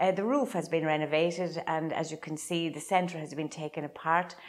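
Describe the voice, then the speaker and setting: With an Irish Midlands accent, a woman speaks at a fairly low pitch. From Ireland, County Laois. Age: 70s. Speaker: traditional Irish dancer. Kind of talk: interview. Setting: old house.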